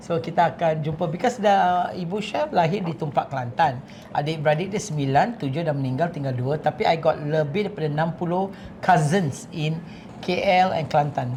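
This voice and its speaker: Over noticeable background noise, a man with a fairly high voice speaks at a moderate pace with ordinary pitch variation. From Singapore. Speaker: chef. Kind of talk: casual chat.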